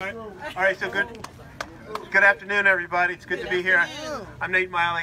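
Very fast speech broken by long, frequent pauses, with fairly even intonation, big swings in loudness and noticeable background noise. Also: man. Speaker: county politician. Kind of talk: public speech. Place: street.

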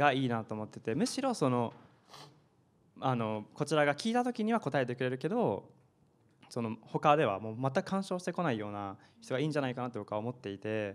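His intonation is lively. The man's pace is fairly quick. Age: 20s. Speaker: startup founder; panelist. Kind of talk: panel discussion. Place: classroom. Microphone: handheld.

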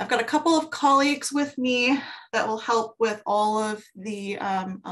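A woman is talking. Her pitch varies in an ordinary way. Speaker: government technology policy advisor. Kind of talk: webinar presentation. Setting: video call. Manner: halting. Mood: friendly, informal. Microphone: video call.

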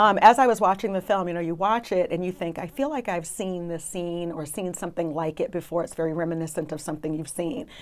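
With hardly any pauses, a woman with a fairly low pitch talks at a very fast pace and ordinary pitch variation. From US, Brooklyn, New York. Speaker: trial attorney. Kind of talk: casual interview discussion. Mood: earnest, reflective. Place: studio.

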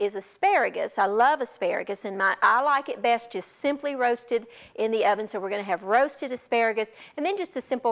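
With a quiet background, the woman moves at a fairly quick pace and uses ordinary pitch variation. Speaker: cooking show host. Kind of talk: tutorial. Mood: warm, nostalgic storytelling. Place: studio. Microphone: lapel.

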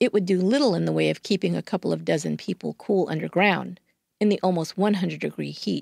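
A woman talks at a fairly quick pace. Her sound is dry and close, with no echo. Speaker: true crime podcast host. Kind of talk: scripted true-crime narration. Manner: measured, steady storyteller.

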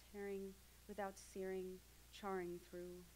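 Light background noise beneath a woman speaking. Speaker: graduate creative writing student. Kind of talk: reading aloud. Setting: stage with audience. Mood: intense, rhythmic, incantatory. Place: hall. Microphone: podium.

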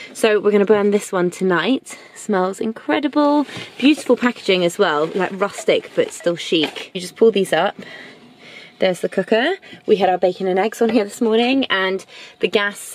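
A woman speaks at a moderate pace with ordinary pitch variation. The sound is dry, with no echo. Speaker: travel vlogger. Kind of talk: casual vlog chat. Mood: cheerful, enthusiastic. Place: car. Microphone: phone near.

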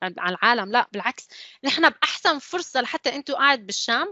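A woman speaks at moderate speed, her pitch swinging very widely. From UAE (Syrian family). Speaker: civil engineer, design manager. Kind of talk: online panel talk.

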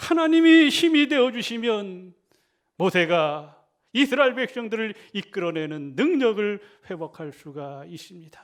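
Talking at a fairly slow pace, a man with a high pitch makes big swings in loudness and very wide pitch swings. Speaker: Salvation Army officer, pastor. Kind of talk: sermon.

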